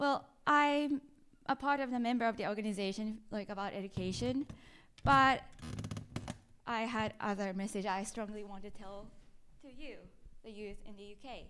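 A woman with a Japanese accent speaks at a moderate pace in a fairly high voice, with ordinary pitch variation, big swings in loudness, and long, frequent pauses. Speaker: university student. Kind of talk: presentation. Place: hall. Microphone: handheld.

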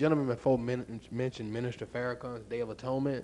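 A man with a Southern US accent speaks at a very fast pace and a medium pitch, with fairly even intonation. His tone is dark and mellow, with light background noise. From US South. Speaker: pastor. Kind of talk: audience question. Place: hall. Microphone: handheld.

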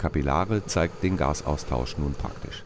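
The intonation here is lively. A man speaks at a moderate pace. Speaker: narrator of school biology film. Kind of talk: educational film narration. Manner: formal, measured, didactic; clear, even, explanatory pace.

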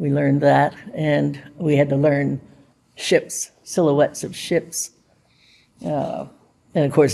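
With an American accent, a woman speaks at a very deep, low pitch in a dark, mellow tone with vocal fry and a fairly slow pace. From US, Pittsburgh. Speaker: WWII navy codebreaker veteran. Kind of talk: oral history interview. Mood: warm, reflective. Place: hall.

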